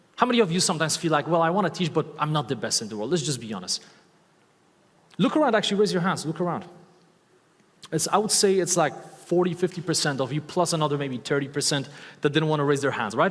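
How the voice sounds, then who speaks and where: A man speaks very fast with lively intonation and a fairly high pitch, in a slight Eastern European accent, broken up by long, frequent pauses. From Poland. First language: Polish. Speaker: motivational speaker and online course creator. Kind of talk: talk to a live audience. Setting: stage with audience. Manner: animated; loud.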